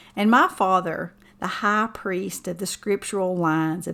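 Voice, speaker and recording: A woman with an Appalachian accent and a bright, sharp tone speaks at a fairly slow pace with fairly even intonation, on a very clean recording with a silent background. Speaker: writer and musician. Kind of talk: poetry reading.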